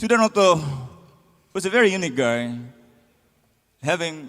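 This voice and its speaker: Music plays in the background as a man speaks with an Indonesian accent. His voice is high, with very wide pitch swings. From Indonesia, Sundanese (West Java). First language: Indonesian/Sundanese. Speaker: band frontman. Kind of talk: stage banter between songs. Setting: stage with audience.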